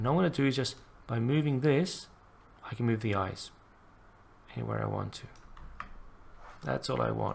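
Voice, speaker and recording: Quiet speech moves at a fairly quick pace, broken by long, frequent pauses. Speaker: animation tutorial creator. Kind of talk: tutorial. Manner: quiet, unrehearsed; halting, thinking aloud.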